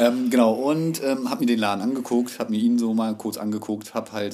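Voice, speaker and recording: A man talks in a plain, everyday voice at a medium pitch, with ordinary pitch variation and a moderate pace. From Berlin (Hellersdorf). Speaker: tattoo artist. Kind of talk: casual chat.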